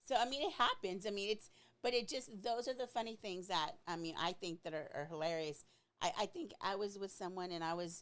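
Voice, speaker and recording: A woman speaks at a moderate pace in a medium pitch, with ordinary pitch variation. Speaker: podcast co-host. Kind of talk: casual chat. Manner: loud, excitable; animated, varied inflection.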